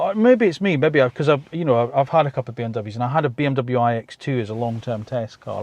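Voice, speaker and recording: Here a man speaks very fast with a British accent. His pitch is medium. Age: 50s. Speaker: car reviewer. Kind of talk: video review. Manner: casual, conversational.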